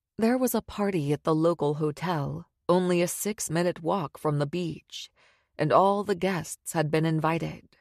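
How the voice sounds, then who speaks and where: Over a quiet background, a woman with a normal speaking voice talks at a fairly slow pace and a fairly low pitch with ordinary variation, the sound dry and close with no echo. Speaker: audiobook narrator. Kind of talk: audiobook narration, thriller.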